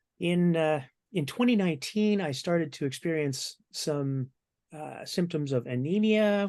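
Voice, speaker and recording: A man with a normal speaking voice talks at a moderate pace with ordinary pitch variation. The background is quiet. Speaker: cancer patient sharing psychedelic therapy experience. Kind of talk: personal testimony in panel discussion.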